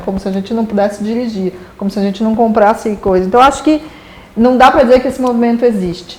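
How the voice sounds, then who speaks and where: Amid noticeable background noise, a fairly high-pitched woman speaks at a fairly quick pace with ordinary pitch variation. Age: 40s. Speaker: advertising executive. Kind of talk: casual interview chat. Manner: animated.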